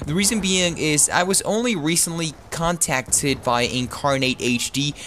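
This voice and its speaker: A man with an American accent, ordinary pitch variation and noticeable background noise. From Texas. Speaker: gameplay commentator. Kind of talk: video game commentary. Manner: casual.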